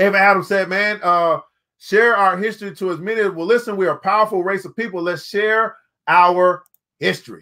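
A man speaks at a fairly quick pace, pitched high with a bright, sharp tone. His pitch shows ordinary variation.

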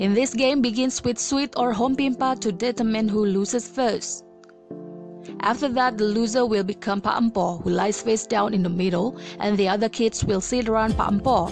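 Speaking with an Indonesian accent, a woman with a fairly high pitch keeps a moderate pace, ordinary pitch variation and very even loudness over music in the background. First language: not English. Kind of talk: educational narration.

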